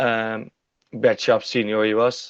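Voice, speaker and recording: This is a man speaking. He talks with a Dutch accent. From Netherlands. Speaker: stock car driver. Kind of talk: interview.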